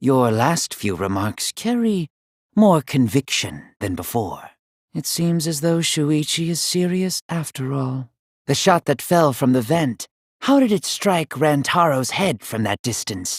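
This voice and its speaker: A man puts on a character voice, pitched fairly high and delivered at a fairly slow pace. The recording is very clean, with a silent background. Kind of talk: video game character voice lines. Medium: dub. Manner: measured, formal, slow.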